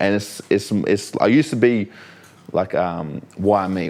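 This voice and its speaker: Speaking in an Australian accent, a man uses fairly low pitch with ordinary pitch variation. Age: 30s. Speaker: professional fighter. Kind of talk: podcast interview. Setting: studio. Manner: sometimes slurs words.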